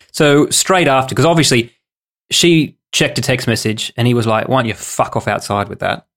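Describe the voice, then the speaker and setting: A man with an Australian accent speaks at a moderate pace and medium pitch with ordinary pitch variation. The recording is very clean and the background silent. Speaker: podcast co-host. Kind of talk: casual chat.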